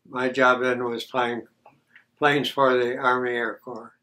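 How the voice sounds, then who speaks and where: The voice has a bright, sharp tone and an American accent. Its intonation is monotone and flat. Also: man. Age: 90s. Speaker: war veteran. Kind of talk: interview testimony. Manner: halting.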